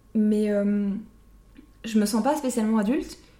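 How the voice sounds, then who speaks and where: A woman with medium pitch speaks amid audible room echo. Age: 20s. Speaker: podcast co-host. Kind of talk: casual chat.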